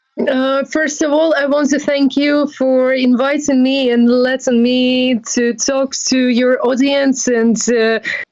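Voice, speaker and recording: Speaking at a very slow pace with a Ukrainian accent, a woman uses a high pitch and monotone, flat intonation at very even loudness. She leaves hardly any pauses, over noticeable background noise. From Ukraine. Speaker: NGO volunteer. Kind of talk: interview.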